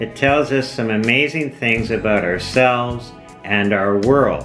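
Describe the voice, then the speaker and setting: A man with a medium pitch and ordinary pitch variation speaks while music plays in the background. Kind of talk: educational documentary narration.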